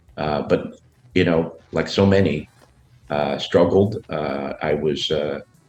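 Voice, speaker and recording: Behind intonation that stays fairly even, there is noticeable background noise. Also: man. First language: Spanish. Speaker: business leader. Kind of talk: interview. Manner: halting, many fillers.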